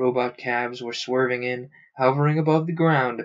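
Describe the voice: The clip is plain reading aloud. Nothing else is notable.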